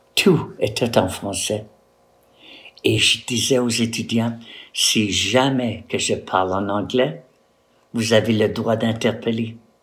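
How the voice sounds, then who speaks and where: A man speaks at a very slow pace, leaving long, frequent pauses. His pitch varies in an ordinary way, and room echo is audible. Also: medium pitch for a man. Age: old. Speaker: retired postal worker and art teacher. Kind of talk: personal testimony to camera.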